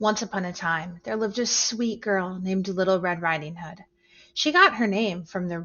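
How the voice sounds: A natural reading voice. It has ordinary pitch variation.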